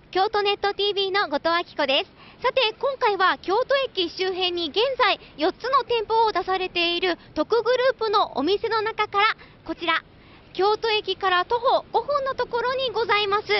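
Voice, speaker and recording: A woman's extremely high-pitched voice at a moderate pace, with ordinary pitch variation. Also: dry sound with no echo. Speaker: TV reporter. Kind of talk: TV location report. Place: street. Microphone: handheld.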